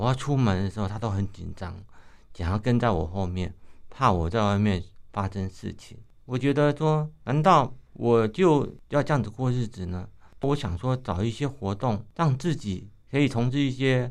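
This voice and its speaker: A man with a medium pitch, lively intonation, and an ordinary speaking voice. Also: moderate pace, very clean recording, silent background. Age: 50s. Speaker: visually impaired runner, running association chairman, retired civil servant. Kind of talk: radio interview.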